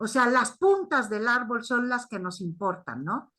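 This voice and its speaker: A woman speaks at a high pitch with a non-native accent. Her intonation is lively. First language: not Spanish (speaking Spanish). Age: 60s. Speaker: primatologist and anthropologist. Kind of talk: academic discussion. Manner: halting.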